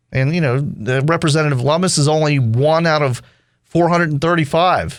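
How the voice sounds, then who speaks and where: Over a silent background in a very clean recording, a man with a plain, everyday voice speaks at a moderate pace, fairly high in pitch, with fairly even intonation and very even loudness. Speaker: talk radio host. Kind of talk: talk radio conversation.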